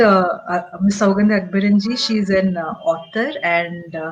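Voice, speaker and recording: At a very slow pace, a woman with a medium-pitched voice speaks in a Tamil accent with ordinary pitch variation. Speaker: show host. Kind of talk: interview. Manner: halting.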